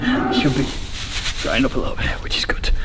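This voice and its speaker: Noticeable noise is present in the background. Through it, a man speaks at a fairly quick speed. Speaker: farmer. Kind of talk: casual vlog narration.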